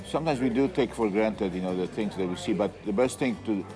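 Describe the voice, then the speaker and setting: Music plays behind a man with a Polish accent. His voice is fairly low. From Poland. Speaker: restaurant owner and innkeeper. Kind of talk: interview. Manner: halting, with filler sounds.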